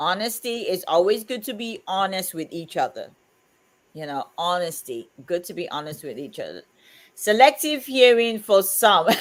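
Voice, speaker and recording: A woman's medium-pitched voice at a moderate pace, with very wide pitch swings and big shifts in loudness, on a very clean recording with a silent background. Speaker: livestream co-host. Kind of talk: casual chat.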